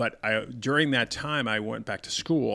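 A man's bright, sharp tone at a fairly quick pace, with ordinary pitch variation, on a very clean recording with a silent background. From Denver, Colorado. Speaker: retired police commander. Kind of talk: interview.

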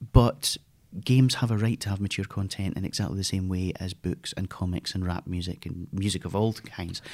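A very deep, low-pitched man with a Scottish accent, fairly even intonation and a fairly quick pace, on a very clean recording with a silent background. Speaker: games industry veteran. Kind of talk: casual interview conversation.

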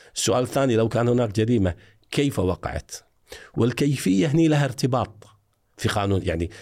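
With lively intonation and a moderate pace, a man speaks at a medium pitch in an ordinary speaking voice. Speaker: retired forensic evidence expert. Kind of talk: interview.

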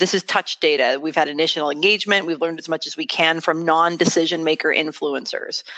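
A woman at a fairly low pitch, talking at a moderate pace. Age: 40s. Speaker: business founder and CEO. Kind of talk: interview. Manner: articulate.

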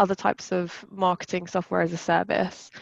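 With a plain, everyday voice, a woman speaks at medium pitch and a moderate pace in a dry, close sound with no echo against a quiet background. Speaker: customer success executive. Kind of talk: casual interview chat.

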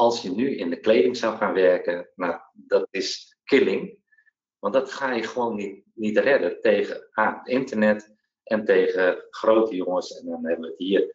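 Talking at a fairly slow pace, a man lets his loudness swing widely. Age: 40s. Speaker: entrepreneur, former benefits agency employee. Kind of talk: interview. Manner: halting, many hesitations.

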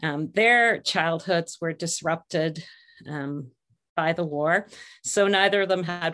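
Against a quiet background, the speaker talks at a fairly slow pace in an Ontario accent with ordinary pitch variation. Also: woman. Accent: Canadian (Ontario). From Canada, Ontario (St. Catharines). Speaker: music education director and piano teacher. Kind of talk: interview.

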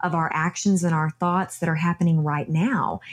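The voice is somewhat breathy, with a Texan accent. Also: woman. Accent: Texan accent, noticeable. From Texas. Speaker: yoga instructor and former beauty queen. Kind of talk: interview conversation.

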